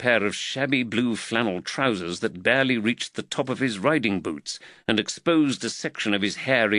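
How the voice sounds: Lively intonation colors this natural reading voice.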